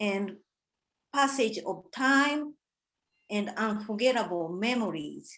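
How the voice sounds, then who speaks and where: A woman with a Japanese accent, fairly high-pitched, very slow, with lively intonation. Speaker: artist. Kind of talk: artist talk presentation. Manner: halting.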